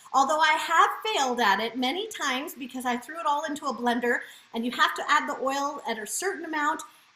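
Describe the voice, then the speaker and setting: Amid noticeable background noise, a woman talks in a raised, projected voice, high-pitched, fairly quick and with lively intonation. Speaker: cooking demonstrator. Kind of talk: live cooking demo. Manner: fast; animated.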